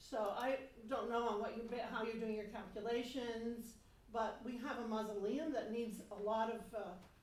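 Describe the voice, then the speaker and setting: Over noticeable background noise and audible room echo, a woman speaks at a moderate pace in a fairly high voice with monotone, flat intonation. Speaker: resident giving public comment. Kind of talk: public comment at a town board meeting. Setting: town board meeting room, seated at table mic. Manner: loud.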